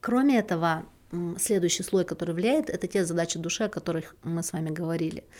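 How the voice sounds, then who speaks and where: The woman talks at a very fast pace in a fairly low voice. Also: ordinary pitch variation. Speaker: podcast host, relationship psychologist. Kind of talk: solo podcast talk.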